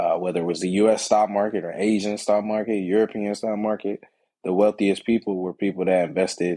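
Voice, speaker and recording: Fairly quick and flat in intonation, the voice has a dark, mellow tone and an American accent. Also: man, fairly low pitch for a man. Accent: lacks a Long Island. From New York and Atlanta, Georgia. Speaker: stock market educator. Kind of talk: casual interview.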